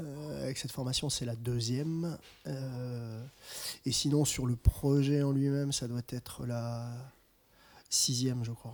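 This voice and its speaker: On a very clean recording with a silent background, a man speaks at a very slow pace with long, frequent pauses and fairly even intonation. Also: medium pitch for a man. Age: 40s. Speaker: musician. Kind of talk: casual interview. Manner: halting.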